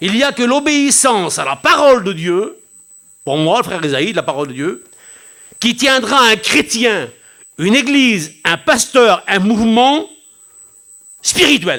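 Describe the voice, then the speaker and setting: With a raised, projected voice, a man speaks high in pitch and bright, sharp in tone, swinging very widely in pitch at a fairly slow pace broken by long, frequent pauses. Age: 60s. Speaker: pastor. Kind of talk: sermon. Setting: church.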